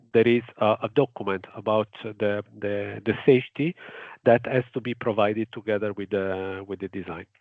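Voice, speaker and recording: A man with an Italian accent speaks at a moderate pace in a fairly low pitch, his intonation fairly even but his loudness swinging widely. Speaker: engineer presenting a grid project. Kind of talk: webinar presentation. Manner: halting, many fillers.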